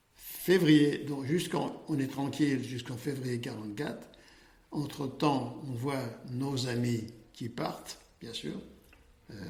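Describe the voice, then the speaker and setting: Long, frequent pauses from a man at medium pitch, very slow in pace, with ordinary pitch variation and audible room echo. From France, Paris. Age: 80s+. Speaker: Holocaust survivor, accountant. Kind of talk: testimony. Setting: office. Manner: halting.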